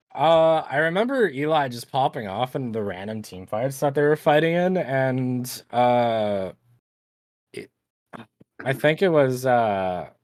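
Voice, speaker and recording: Speaking with a Canadian accent at a fairly slow pace, a man has a plain, everyday voice of medium pitch, with lively intonation and big swings in loudness. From Canada. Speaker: esports caster. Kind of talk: live commentary. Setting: live stream.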